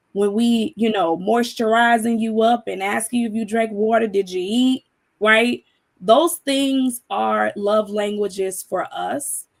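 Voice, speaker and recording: With a normal speaking voice, a woman talks at a fairly slow pace in a fairly high pitch with ordinary pitch variation. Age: 30s. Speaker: panel discussion guest. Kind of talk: panel discussion.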